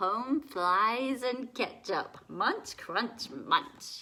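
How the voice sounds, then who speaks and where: A female-sounding, put-on character voice, high-pitched and very slow. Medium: read story.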